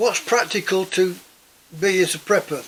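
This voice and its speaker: A man speaks with an English accent at a moderate pace. Noticeable background noise runs behind him. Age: 70s. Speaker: prepping vlogger. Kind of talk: casual monologue. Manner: halting, many repetitions.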